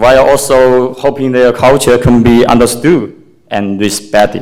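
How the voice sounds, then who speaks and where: A man with a non-native accent, medium pitch, moderate pace and fairly even intonation, in audible room echo. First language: Chinese. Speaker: parent speaking at public comment. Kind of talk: public comment speech. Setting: public meeting at city hall. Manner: halting.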